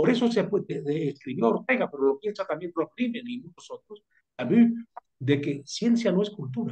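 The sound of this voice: At a moderate pace, this voice carries a slightly mellow tone with a slightly husky edge and lively intonation. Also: man, high pitch for a man.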